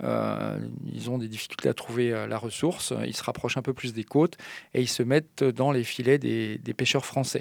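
A man at a fairly quick pace, medium pitch and ordinary pitch variation, on a very clean recording with a silent background. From French mountain region. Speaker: marine mammal scientist at an animal park. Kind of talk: radio interview. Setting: studio. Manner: halting.

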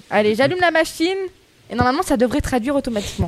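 A woman speaks in an animated tone with a high pitch and lively intonation. Noticeable background noise runs behind her. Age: 20s. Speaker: radio show co-host. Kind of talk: casual chat.

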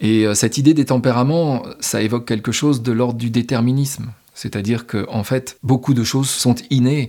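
The delivery moves at a fairly quick pace. Its intonation stays fairly even. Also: man. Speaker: podcast host. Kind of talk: reflective solo monologue. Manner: unscripted, spontaneous.

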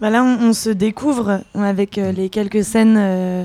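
The tone of this woman's voice is dark and mellow. She speaks at a medium pitch with fairly even intonation. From France. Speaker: singer and contemporary dancer. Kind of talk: casual interview. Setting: Paris café.

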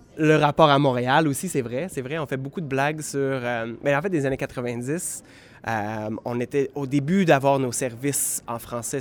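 A man's voice of medium pitch at a moderate pace, with ordinary pitch variation. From southwestern Ontario. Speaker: theatre creator. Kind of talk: interview. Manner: halting, many repetitions.

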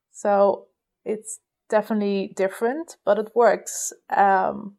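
A dark, mellow tone in a flat monotone, with a Dutch accent. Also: woman. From Netherlands. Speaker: animator. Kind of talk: voicemail message.

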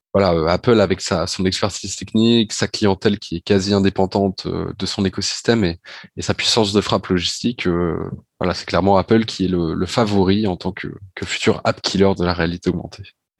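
On a very clean, dry, close recording with no echo and a silent background, a man speaks at a fairly quick pace in a very deep, low pitch with monotone, flat intonation. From Normandy, France (Rouen). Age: 20s. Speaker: business school student, augmented reality enthusiast. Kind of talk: podcast interview.

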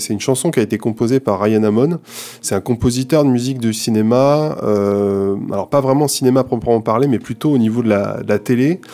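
A man talks in a medium pitch that varies in an ordinary way. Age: 30s. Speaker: composer and sound engineer. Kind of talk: casual chat about a video game. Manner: halting, many repetitions and fillers.

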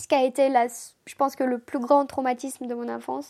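A woman's high-pitched voice at a moderate pace, with monotone, flat intonation. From Moldova, Chisinau. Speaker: interviewee telling her life story. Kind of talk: casual personal storytelling.

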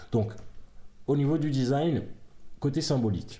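Somewhat breathy and dark, mellow in tone, a man talks at a moderate pace amid audible room echo. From Africa. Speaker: podcast co-host. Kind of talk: casual chat; reading aloud.

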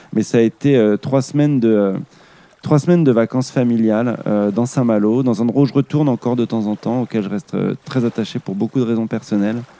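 The man's voice is dark and mellow at a medium pitch. He talks at a fairly quick pace with fairly even intonation. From Île-de-France. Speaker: actor. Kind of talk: casual chat.

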